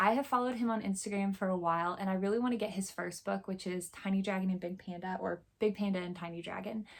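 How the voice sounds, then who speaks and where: Speaking at a very fast pace with hardly any pauses, a woman keeps a medium pitch and fairly even intonation. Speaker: booktuber. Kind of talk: casual book haul chat.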